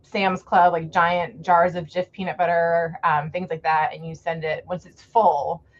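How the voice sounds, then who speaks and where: A woman with an American accent speaks in a fairly low, somewhat breathy voice. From US South, Fort Myers, Florida. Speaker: author. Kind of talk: casual chat. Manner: animated.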